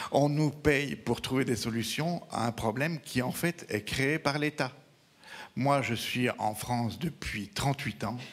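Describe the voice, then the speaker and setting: The speaker has a Belgian accent and a very slow pace. Pitch variation is ordinary. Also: man, medium pitch for a man. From Belgium. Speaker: veterinarian, regional council member. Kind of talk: audience remark at round table.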